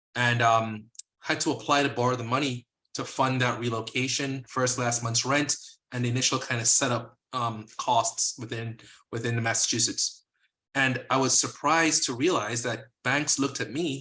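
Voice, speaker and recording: A man with a slight Caribbean accent and medium pitch speaks at a moderate pace in a bright, sharp tone. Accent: slight Caribbean sing-song. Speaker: physician, lending company co-founder. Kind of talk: interview.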